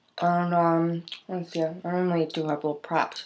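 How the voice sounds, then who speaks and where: A woman's fairly low voice stays monotone and flat, with light background noise behind it. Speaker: video diarist. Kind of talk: casual talk to camera. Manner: rambling, self-deprecating. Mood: wry, self-mocking. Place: home room. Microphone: webcam.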